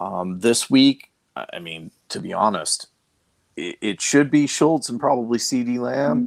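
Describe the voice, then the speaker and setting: In a dry, close recording with no echo, a man with an American accent speaks at a fairly slow pace and medium pitch, with very wide pitch swings and big swings in loudness. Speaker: fantasy football analyst. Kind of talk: casual chat. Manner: halting, many fillers and repeats.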